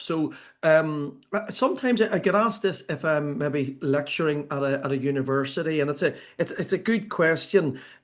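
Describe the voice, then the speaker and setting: Against a quiet background, a man with an Irish accent and a fairly high pitch talks at a moderate pace with ordinary pitch variation. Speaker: sports consultant and author. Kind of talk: podcast interview. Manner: speeds up when excited.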